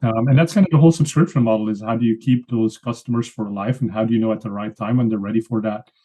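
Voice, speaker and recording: Heard at a medium pitch with ordinary pitch variation, a man talks with a slight Belgian accent. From Belgium (Flanders). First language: Flemish (Dutch). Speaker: pay-per-click advertising expert, software founder. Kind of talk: podcast interview.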